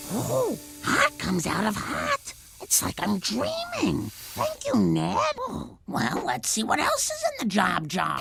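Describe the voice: A man's cartoonish character voice at a fairly slow pace, with clear background noise.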